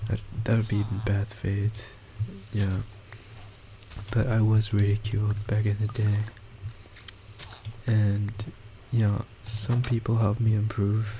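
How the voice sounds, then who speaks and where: The speech is fairly slow and monotone, with flat intonation, long, frequent pauses, and noticeable background noise. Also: man, fairly low pitch for a man. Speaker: gaming YouTuber. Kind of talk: gameplay commentary. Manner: halting.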